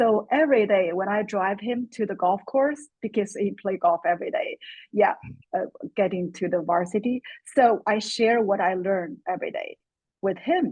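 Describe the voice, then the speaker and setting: A woman speaks with a Chinese accent at a medium pitch. Her pace is moderate and her pitch varies in an ordinary way. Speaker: course student. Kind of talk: webinar Q&A comment.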